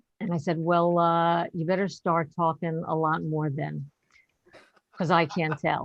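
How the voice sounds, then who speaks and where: A woman with an American accent speaks at a fairly low pitch. Her pace is fairly slow and her intonation monotone and flat. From New York. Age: 60s. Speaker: stand-up comedian. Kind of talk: stand-up. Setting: video call.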